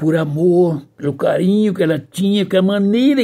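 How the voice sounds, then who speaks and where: With a dark, mellow tone, a man speaks in a high voice with lively intonation. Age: 70s. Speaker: pastor. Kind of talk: sermon. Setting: livestream.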